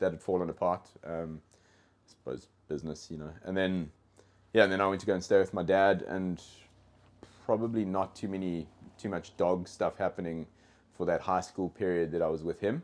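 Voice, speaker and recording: A man with a South African accent and a very deep, low pitch keeps his intonation fairly even, pausing long and often. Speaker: dog trainer. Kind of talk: casual podcast interview. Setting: in-person studio. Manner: halting, many fillers and repeated words.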